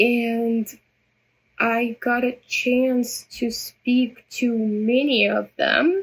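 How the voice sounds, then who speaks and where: With a Russian accent, a woman speaks very slowly in a high pitch, her loudness very even and her intonation fairly even. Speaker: vlogger. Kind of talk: personal vlog monologue. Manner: halting, many repetitions.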